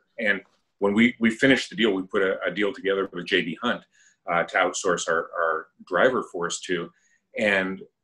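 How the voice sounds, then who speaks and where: Against a quiet background, a man with an American accent speaks at a moderate pace in a fairly low pitch, his bright, sharp tone carrying fairly even intonation. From New Jersey, US. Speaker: retired restaurant executive; guest. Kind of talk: interview conversation. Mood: earnest, proud. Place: office. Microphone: video call.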